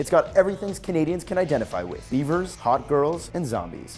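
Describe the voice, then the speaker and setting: The speaker has an upbeat tone and a fairly quick pace. Music plays in the background. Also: man. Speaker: web news show host. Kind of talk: comedic news segment to camera. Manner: upbeat, jokey.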